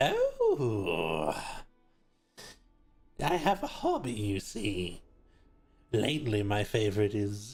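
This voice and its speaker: A put-on character voice speaks at a very slow pace with long, frequent pauses. Faint music plays in the background. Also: man, medium pitch for a man. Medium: actual play. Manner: slow, sly, unsettlingly pleasant.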